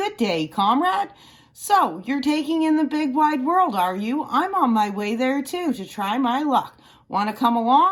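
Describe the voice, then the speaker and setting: A woman speaks in a put-on character voice, pitched high with very wide swings. Her pace is moderate. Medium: read story. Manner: cocky, peppy.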